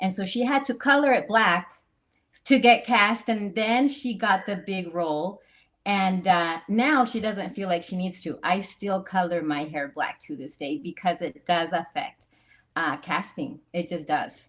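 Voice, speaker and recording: A woman with a Spanish accent, medium pitch, an animated tone, lively intonation and a fairly slow pace. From Latin America (Central America). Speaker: actress. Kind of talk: casual panel discussion.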